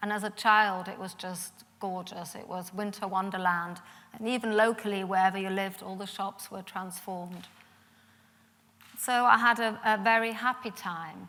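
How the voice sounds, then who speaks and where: In a slight German accent, a woman speaks at a moderate pace with a bright, sharp tone and fairly even intonation. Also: medium pitch for a woman. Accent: slight German twang in English. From Germany, Munich, Bavaria. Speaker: Holocaust survivors' daughter, speaker. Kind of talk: public talk.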